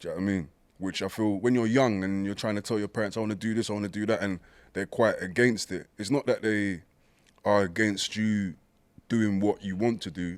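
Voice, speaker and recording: A man with a British accent, fairly low in pitch, at a fairly quick pace with fairly even intonation, in a very clean recording against a silent background. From East London, Hackney. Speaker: poet and rapper. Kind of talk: casual chat.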